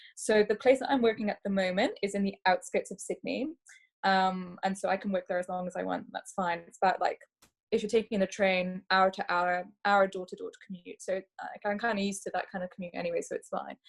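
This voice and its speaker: A somewhat breathy woman at a medium pitch speaks at a fairly quick pace with fairly even intonation. Her loudness swings widely, and the sound is dry and close with no echo. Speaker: doctor. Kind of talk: webinar presentation. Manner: fast.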